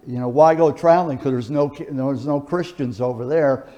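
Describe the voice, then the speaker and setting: Intonation stays fairly even. The tone is dark and mellow. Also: man. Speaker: presenter at church talk. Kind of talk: lecture.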